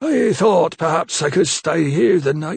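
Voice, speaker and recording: A man's croaky, raspy put-on character voice, high in pitch with ordinary pitch variation, at a fairly slow pace, in a dry, close sound with no echo. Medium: read story.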